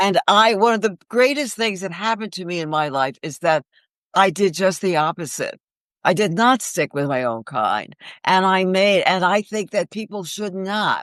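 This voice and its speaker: A woman with a New York accent speaks with lively intonation in a dry, close sound with no echo over a quiet background. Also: medium pitch for a woman, moderate pace. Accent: Bronx New York. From New York, the Bronx. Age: 80s+. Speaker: actress and author. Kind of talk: interview.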